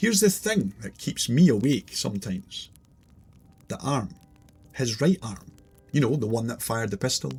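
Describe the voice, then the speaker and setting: Someone with a Scottish accent talks at a moderate pace in a somewhat breathy voice with lively intonation and long, frequent pauses. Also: man, medium pitch for a man. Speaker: storyteller. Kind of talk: scary story narration.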